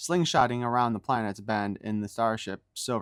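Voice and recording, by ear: The intonation stays fairly level. Someone reads aloud in a natural voice against a quiet background.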